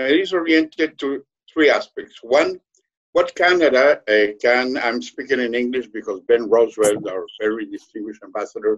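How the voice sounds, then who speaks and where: Speaking at a moderate pace in a Spanish accent, a man uses medium pitch and lively intonation. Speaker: diplomat. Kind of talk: webinar question. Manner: halting, many fillers.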